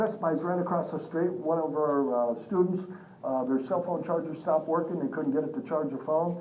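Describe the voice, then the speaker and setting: A man with a fairly high voice speaks very fast. Room echo is audible, and there is noticeable background noise. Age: 60s. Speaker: business seminar trainer. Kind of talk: live seminar presentation. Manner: energetic, engaging the audience.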